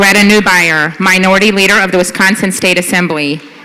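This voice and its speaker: A medium-pitched woman with ordinary pitch variation, amid audible room echo and noticeable background noise. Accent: American. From US South. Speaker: nonprofit board president. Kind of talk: gala award presentation. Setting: stage at gala dinner with audience.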